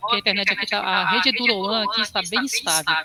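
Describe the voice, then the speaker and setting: A woman talks at a fairly quick pace in a fairly high pitch. There is noticeable background noise. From Brazilian Northeast. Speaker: university librarian instructor. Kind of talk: online training tutorial.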